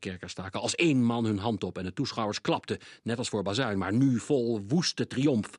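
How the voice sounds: This is a natural reading voice. Its pitch varies an ordinary amount.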